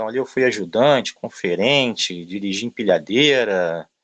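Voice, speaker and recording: The background is quiet while a man speaks at a moderate pace. His voice sits at medium pitch. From Brazil, Rio de Janeiro. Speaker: logistics manager. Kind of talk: interview talk. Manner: filler-heavy, hesitant.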